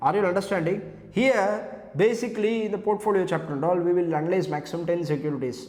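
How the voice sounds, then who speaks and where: A man with a Tamil Indian accent talks at a very fast pace with ordinary pitch variation, in audible room echo. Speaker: CA exam lecturer. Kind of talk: lecture.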